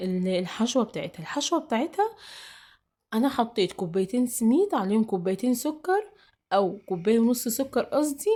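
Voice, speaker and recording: This woman's pitch swings very widely. She moves at a moderate pace. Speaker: cooking channel host. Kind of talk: cooking tutorial. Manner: casual, halting with fillers.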